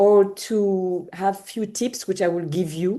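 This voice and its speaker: A woman with a French accent speaks very slowly in a dark, mellow tone. The background is quiet. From France. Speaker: home organizer. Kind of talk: panel talk. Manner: halting.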